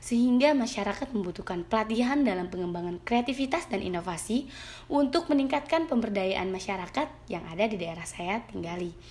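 At a fairly quick pace, a woman speaks in a fairly high voice with very wide pitch swings. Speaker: university student. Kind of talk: reading aloud prepared exam answers. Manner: reading from script with occasional hesitations.

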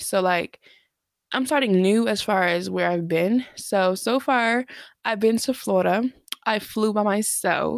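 A woman with an American accent speaks at a fairly slow pace in a medium pitch, with very even loudness and ordinary pitch variation. She has an ordinary speaking voice. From New Jersey. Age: 20s. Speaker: podcast host. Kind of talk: casual chat.

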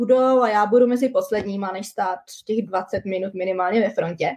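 A woman with a normal speaking voice keeps a moderate pace and fairly even intonation. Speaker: working holiday visa holder. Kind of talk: casual interview. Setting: video livestream.

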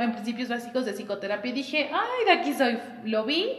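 A woman's high-pitched voice carries through audible room echo and noticeable background noise. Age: 20s. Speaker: psychologist and podcast co-host. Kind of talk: casual chat recorded as a live stream.

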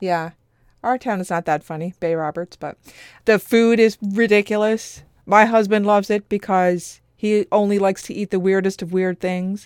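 A woman with a Newfoundland accent talks at a medium pitch, her voice dry and close with no echo on a very clean recording over a silent background. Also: moderate pace. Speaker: podcast co-host. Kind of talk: casual chat; scripted narration.

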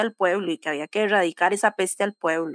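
At a moderate pace, a woman with a normal speaking voice talks at a medium pitch in a dry, close sound with no echo. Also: very clean recording, silent background. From Costa Rica (Cartago). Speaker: podcast co-host. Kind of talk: casual chat.

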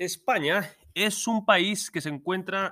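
With a raised, projected voice and a bright, sharp tone, a man talks at a very slow pace in a high pitch, using ordinary pitch variation, on a very clean recording with a silent background. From Spain. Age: 30s. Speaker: Spanish teacher. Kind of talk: lesson recording for students.

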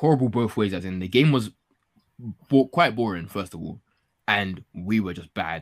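Here is a man with a fairly low pitch. He talks at a moderate pace. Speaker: football podcast host. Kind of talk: casual banter about football. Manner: animated, excitable.

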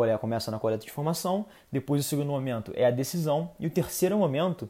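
A man speaks very fast with lively intonation, his pitch fairly high for a man. His tone is dark and mellow. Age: 20s. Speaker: podcast host and marketing manager. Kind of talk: solo podcast monologue, advice talk. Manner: casual, conversational with filler hesitations.

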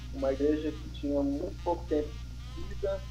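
Music plays in the background and audible room echo surrounds speech delivered at a moderate pace. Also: man. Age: 30s. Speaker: pastor and church planter. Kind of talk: casual interview chat. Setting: remote live stream with connection problems.

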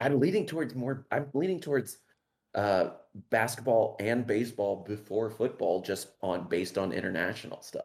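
Speaking with lively intonation, a man with an unremarkable speaking voice, a medium pitch and an American accent keeps a moderate pace. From Los Angeles. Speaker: podcast guest. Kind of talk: casual chat. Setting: livestream over Discord.

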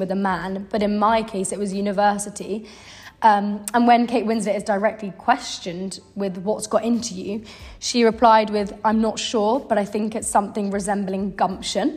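A woman speaks with a British accent. Her voice is somewhat breathy, with monotone, flat intonation. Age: 20s. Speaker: podcast host, university dropout. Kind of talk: casual chat.

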